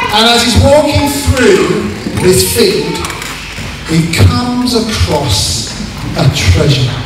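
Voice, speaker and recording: A man speaks at a very slow pace. There is audible room echo and noticeable background noise. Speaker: pastor. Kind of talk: sermon and baptism service. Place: hall.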